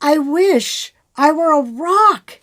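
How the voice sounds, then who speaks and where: Squeaky and high-pitched, a woman puts on a character voice. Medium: read story.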